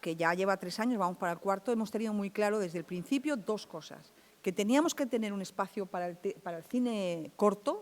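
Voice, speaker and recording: A woman uses a normal speaking voice at medium pitch, talking at a fairly quick pace with ordinary pitch variation and hardly any pauses. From Andalusia, Chiclana (Cádiz). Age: 60s. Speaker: film festival organizer. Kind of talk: panel talk.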